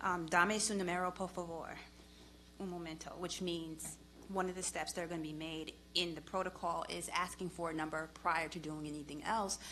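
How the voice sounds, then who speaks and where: At a moderate pace, the voice comes across in a bright, sharp tone with monotone, flat intonation. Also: woman, fairly low pitch for a woman. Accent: Long Island. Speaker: police department official. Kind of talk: public hearing testimony. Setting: public committee hearing.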